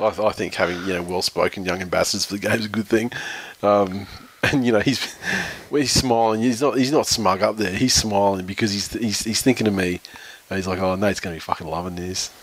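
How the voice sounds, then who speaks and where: Very fast speech from a man with an Australian accent, fairly low pitch and ordinary pitch variation, over noticeable background noise. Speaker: podcast host, rugby league. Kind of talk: casual chat. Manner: jokey, talkative.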